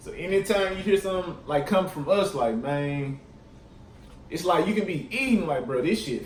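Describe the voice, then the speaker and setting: Over noticeable background noise and audible room echo, a man speaks at a moderate pace with a high pitch. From Mississippi Delta (Tunica). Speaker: YouTuber. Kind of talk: casual vlog. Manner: casual, many fillers.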